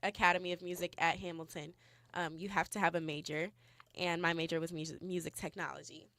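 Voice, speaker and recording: Recorded very cleanly with a silent background, a woman with a Californian accent talks at a fairly quick pace, her pitch fairly low and her tone bright and sharp. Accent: Californian American English. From Los Angeles, California. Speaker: student activist radio co-host. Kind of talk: casual chat on live radio. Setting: radio studio.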